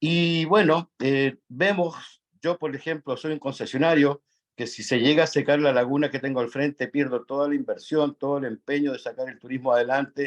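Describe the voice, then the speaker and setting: With a Chilean accent, a man talks at a moderate pace in a fairly high voice and fairly even intonation. The sound is dry and close with no echo, over a quiet background. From Chile, Atacama region. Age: 60s. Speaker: national park concessionaire, audience participant. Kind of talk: audience comment in online forum. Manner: halting, many fillers.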